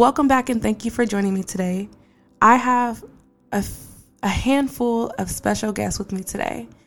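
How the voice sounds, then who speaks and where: A woman speaks in an ordinary speaking voice at a fairly high pitch. Her intonation stays fairly even at a moderate pace. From Portland, Oregon. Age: adult. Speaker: podcast host. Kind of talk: casual podcast monologue.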